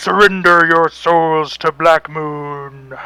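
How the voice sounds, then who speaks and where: Over faint music in the background, a man uses a put-on character voice with a fairly high pitch. He speaks at a very slow pace. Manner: menacing, commanding.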